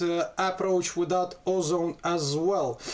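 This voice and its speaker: In a Russian accent, a man speaks at a high pitch with fairly even intonation. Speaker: music producer. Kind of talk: tutorial. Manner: halting.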